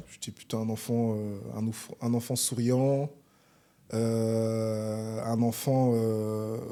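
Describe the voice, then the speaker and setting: A man's dark, mellow voice at medium pitch, flat and monotone, at a very slow pace. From Paris region, France (arrived from Congo at age seven). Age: 30s. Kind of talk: interview.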